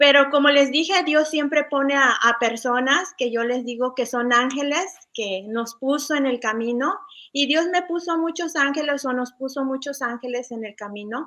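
Over a quiet background, a woman talks in a high pitch with ordinary pitch variation and hardly any pauses. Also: moderate pace. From Mexico, Puebla state. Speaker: professional sharing her faith story; guest. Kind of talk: testimony. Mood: warm, storytelling. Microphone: webcam.

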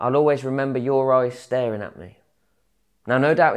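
A man speaks at a moderate pace. Behind him the background is quiet. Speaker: spoken word poet. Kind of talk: spoken word poetry performance. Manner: rhythmic, rhyming delivery with storytelling flow; wry, conversational, mock-casual tone with crude humour. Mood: reflective, intimate. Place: workshop. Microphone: lapel.

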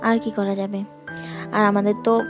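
Clear music sits in the background while a woman talks with fairly even intonation in a dry sound with no echo. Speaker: travel vlogger. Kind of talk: casual vlog chat. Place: station. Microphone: phone near.

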